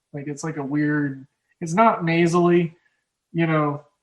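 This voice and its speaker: A man's fairly high voice with an Oklahoma accent, monotone and flat in intonation. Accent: Oklahoma drawl. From Oklahoma, US Midwest. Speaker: sports betting podcast host. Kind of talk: casual chat. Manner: halting.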